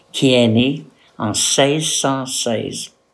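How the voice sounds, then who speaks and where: A man speaks with ordinary pitch variation. Room echo is audible. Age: old. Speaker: retired postal worker and art teacher. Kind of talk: personal testimony to camera.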